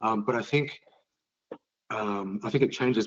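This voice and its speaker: Speaking fairly quickly, a man with an Australian accent uses a fairly low pitch. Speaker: penetration testing firm director. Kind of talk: casual interview chat. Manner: hesitant, many fillers.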